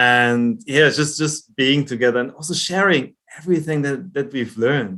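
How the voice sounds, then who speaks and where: A man's bright, sharp voice with a German accent and ordinary pitch variation. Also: fairly high pitch for a man, moderate pace. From Germany. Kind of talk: interview.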